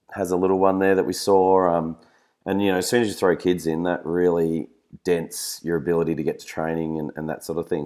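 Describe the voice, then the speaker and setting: A man with an Australian accent speaks fairly quickly in a very deep, low pitch, his tone dark and mellow and his intonation fairly even. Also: very clean recording, silent background. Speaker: fistball player and co-host. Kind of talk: casual chat.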